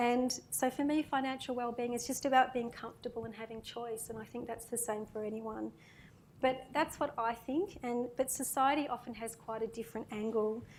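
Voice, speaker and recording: Soft-spoken and high-pitched, a woman talks at a moderate pace with fairly even intonation in an Australian accent. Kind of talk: panel Q&A reading prepared remarks.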